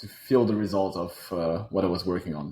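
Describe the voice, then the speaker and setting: A man with a French accent, fairly low in pitch, dark and mellow in tone, at a moderate pace. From Switzerland, Geneva. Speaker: robotics startup founder. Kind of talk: interview.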